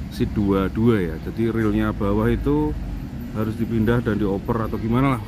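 A man speaks at a moderate pace. The sound is dry with no echo, and there is noticeable background noise. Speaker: bus enthusiast vlogger. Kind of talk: casual vlog commentary. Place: street. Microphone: phone near.

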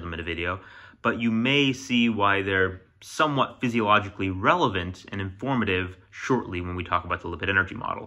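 The man's pitch is fairly low and moves with ordinary variation. His tone is bright and sharp. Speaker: science video creator. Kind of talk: explainer vlog talk. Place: home room. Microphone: phone near.

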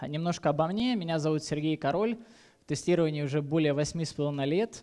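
Against a quiet background, a man speaks at a moderate pace in a dark, mellow tone with ordinary pitch variation. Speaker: conference speaker. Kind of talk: conference talk. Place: hall. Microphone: headset.

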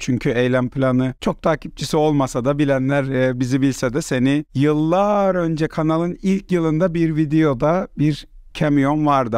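A plain, everyday voice from a man, fairly high in pitch with ordinary pitch variation, dry with no echo over a quiet background. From Cyprus. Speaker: podcast host. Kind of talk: casual chat. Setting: online call. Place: home room. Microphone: video call.

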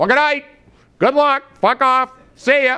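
In a bright, sharp tone, a man speaks at a fairly quick pace. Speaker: comedic web show host. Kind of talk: comedic rant monologue. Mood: sarcastic comic indignation. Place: studio. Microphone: lapel.

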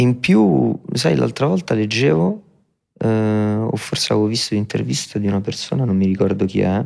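A man talks at a moderate pace in a normal speaking voice, fairly low in pitch. His intonation is lively and his loudness very even. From Rome, Italy. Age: 20s. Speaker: rapper. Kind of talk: interview. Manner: reflective.

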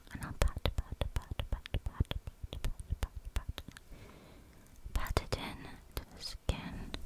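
A woman is whispering. She leaves long, frequent pauses. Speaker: ASMR creator. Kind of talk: ASMR personal attention roleplay. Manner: whispered. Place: home room. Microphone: studio mic.

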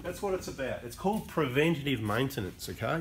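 Lively intonation carries this speech in an Australian accent. Light background noise sits behind it. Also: man. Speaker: diesel mechanic / car channel host. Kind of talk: unscripted tutorial. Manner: casual, off the cuff. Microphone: camera far.

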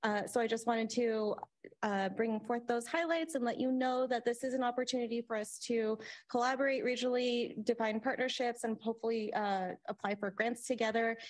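A woman talks in an ordinary speaking voice, fairly high in pitch, at a fairly quick pace. Her intonation stays fairly even, her loudness very even, against a quiet background. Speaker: regional planning agency staff. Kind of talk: presentation at public meeting. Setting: in-person meeting room. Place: meeting room. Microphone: podium.

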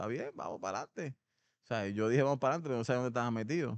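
In a dry recording with no echo and a quiet background, a man speaks with ordinary pitch variation. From Puerto Rico, Ponce; Puerto Rico. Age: 50s. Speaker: former pro baseball player; podcast guest. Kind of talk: interview. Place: gym. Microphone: studio mic.

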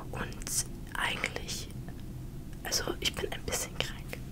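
A soft-spoken woman whispers at a very slow pace. Loud background noise fills the clip. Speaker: ASMR creator. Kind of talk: casual vlog chat. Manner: soft whisper, slightly unwell. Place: home room. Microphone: studio mic.

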